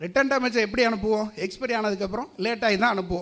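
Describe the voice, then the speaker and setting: We hear a man talking. His pitch is high, with ordinary variation. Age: 50s. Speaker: distribution business owner, debate speaker. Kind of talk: debate speech. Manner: animated.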